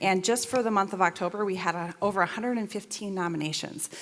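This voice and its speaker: Noticeable background noise surrounds a woman speaking at a fairly quick pace. Her pitch is medium, with ordinary variation. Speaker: school district staff presenter. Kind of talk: reading aloud staff award nominations. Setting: school board meeting. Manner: fast.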